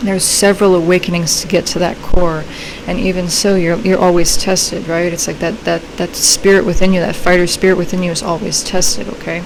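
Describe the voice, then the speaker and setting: Fairly quick speech from a woman with a fairly low pitch and monotone, flat intonation, with audible room echo and noticeable background noise. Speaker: tarot reader. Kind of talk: tarot reading. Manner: fast; casual, filler-heavy.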